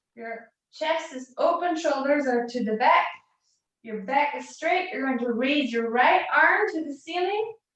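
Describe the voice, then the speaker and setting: A high-pitched woman speaks at a fairly slow pace with lively intonation and big swings in loudness, with audible room echo. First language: not English. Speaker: fitness instructor. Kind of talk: live workout class instruction.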